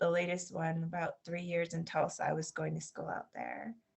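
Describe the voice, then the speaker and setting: Here is a woman speaking. She has a Floridian accent. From Southwest Florida, US. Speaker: English teacher, expat. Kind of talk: interview.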